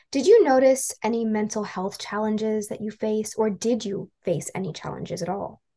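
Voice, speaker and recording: A woman with a fairly high pitch and a dark, mellow tone sounds somewhat breathy. She keeps a moderate pace with ordinary pitch variation and hardly any pauses. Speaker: podcast host, education coordinator. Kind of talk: interview questions.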